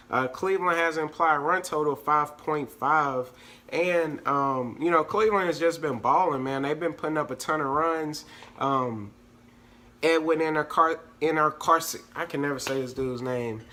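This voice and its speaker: This man has a fairly high pitch, a bright, sharp tone and ordinary pitch variation, and he talks at a moderate pace. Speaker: fantasy sports analyst. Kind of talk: casual sports picks breakdown. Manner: casual, filler-heavy with hesitations.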